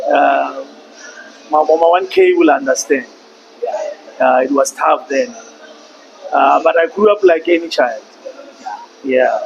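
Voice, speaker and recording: A man with a Lesotho accent at a fairly slow pace, with long, frequent pauses, very even loudness and noticeable background noise. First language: Sesotho. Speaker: podcast guest. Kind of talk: interview.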